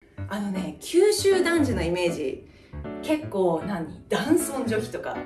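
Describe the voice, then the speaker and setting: A woman speaks with a Kyushu accent. Clear music plays in the background. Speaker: mother vlogger. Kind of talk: casual talk to camera. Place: home room. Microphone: camera far.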